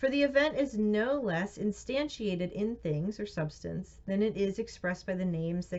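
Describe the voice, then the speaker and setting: The voice is somewhat breathy, and its pitch swings very widely. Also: woman. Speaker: reader of philosophy and theology texts. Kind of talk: reading aloud.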